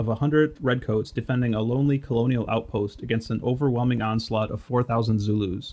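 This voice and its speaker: A man talks at a very fast pace with a Midwestern American accent. His pitch is medium, and his intonation stays fairly even. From Detroit, Michigan. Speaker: podcast host. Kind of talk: scripted narration.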